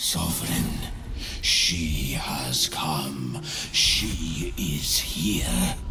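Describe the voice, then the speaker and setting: Put-on character voice from a man at a very slow pace over loud background noise. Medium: machinima.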